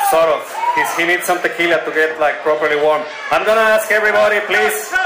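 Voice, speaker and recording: Shouting at a very fast pace, a man with a high pitch and a playful tone is heard over noticeable background noise. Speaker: wrestling ring announcer. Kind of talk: live ring announcing, hyping a crowd at a wrestling show. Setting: live arena with audience. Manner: loud, exuberant showman, coaxing crowd to yell; playful, jokey, mixing Spanish flourishes into English. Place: hall.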